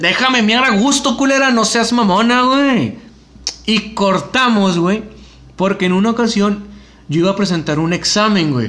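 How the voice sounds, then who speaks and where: Raised and projected, a man's high-pitched voice moves at a fairly slow pace with very even loudness and ordinary pitch variation. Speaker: podcast host. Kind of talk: casual chat.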